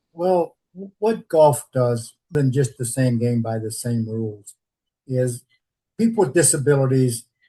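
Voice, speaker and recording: At a fairly slow pace, a man speaks at a medium pitch in a dark, mellow tone that is somewhat breathy, with ordinary pitch variation. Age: 80s+. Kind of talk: interview.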